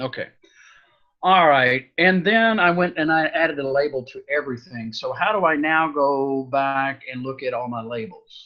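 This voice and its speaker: A man's fairly high-pitched, normal speaking voice at a moderate pace, with ordinary pitch variation and big swings in loudness. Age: 60s. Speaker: coaching client learning Facebook marketing. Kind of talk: coaching session, casual chat.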